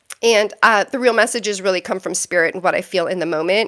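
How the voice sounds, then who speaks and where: Her pitch moves in an ordinary way. The woman's voice sounds dry and close, free of any echo. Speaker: tarot reader and psychic. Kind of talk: live stream chat. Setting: live stream. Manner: fast; hesitant with many fillers.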